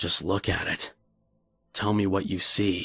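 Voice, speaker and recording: Whispering in a raspy, put-on character voice, a man talks at a fairly slow pace. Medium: read story. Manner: calm, coaxing.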